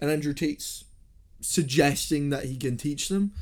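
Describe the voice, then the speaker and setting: Speaking in an ordinary speaking voice, a man keeps his pitch fairly high. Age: 20s. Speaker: podcast host. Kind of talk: casual chat.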